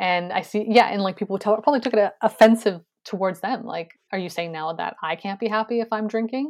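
Here is a woman with a plain, everyday voice at a fairly high pitch and ordinary pitch variation. She talks at a fairly quick pace with hardly any pauses, against a quiet background. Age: 30s. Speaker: writer and content creator. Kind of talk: casual chat.

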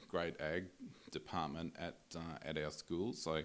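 A man speaks in an Australian accent with a very deep, low pitch. His pace is moderate and his pitch varies in an ordinary way. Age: 40s. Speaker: breed association chief executive and cattle farmer. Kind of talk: casual interview. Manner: halting, many fillers and repeats.

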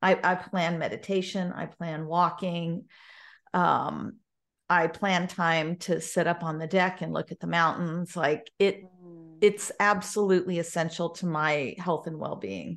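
A woman's fairly low voice at a fairly slow pace, fairly even in intonation, against a quiet background. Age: 60s. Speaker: business mentor and speaker. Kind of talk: interview.

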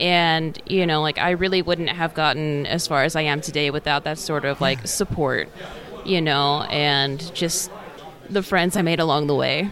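Crowd noise sits in the background. The speech moves at a moderate pace. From US Pacific Northwest, Washington. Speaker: freelance artist. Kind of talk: casual interview. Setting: convention hall.

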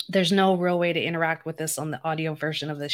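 Speaking in a normal speaking voice, a woman keeps a fairly low pitch and fairly even intonation. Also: very clean recording, silent background. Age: 40s. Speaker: podcast host and diabetes health coach. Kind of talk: solo podcast monologue. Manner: conversational.

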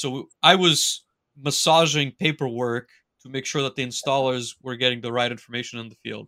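Speaking at a fairly quick pace, a man with a plain, everyday voice and medium pitch shows ordinary pitch variation and big swings in loudness, with a dry, close sound with no echo. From Quebec, Canada (Montreal). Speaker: manufacturing automation consultant and trainer. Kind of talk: casual interview.

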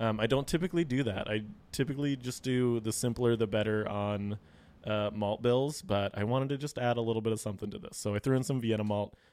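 Talking at a very fast pace, a man with a medium-pitched voice and an American accent uses ordinary pitch variation. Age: young. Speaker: brewer. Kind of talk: casual chat.

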